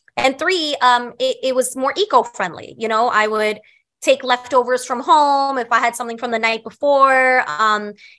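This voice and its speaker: Bright and sharp in tone, a woman speaks high-pitched with an American accent. She keeps a moderate pace. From Staten Island, New York. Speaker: chef. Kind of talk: casual chat. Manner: animated.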